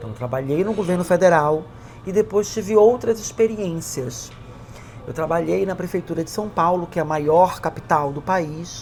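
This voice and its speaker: Her intonation is lively, and the woman's pitch is fairly low. She keeps a moderate pace. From Brazilian Amazon. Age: 40s. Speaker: government official and LGBTQ+ activist. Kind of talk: interview testimony. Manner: halting, with fillers.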